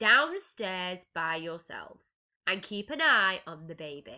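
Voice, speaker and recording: A woman uses a put-on character voice at a medium pitch and a fairly slow pace. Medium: read story. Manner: weary, exasperated.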